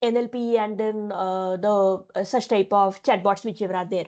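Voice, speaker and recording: A woman is talking. She keeps a moderate pace. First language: Marathi. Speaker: lecturer. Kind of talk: lecture. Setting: online session. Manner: halting, many fillers.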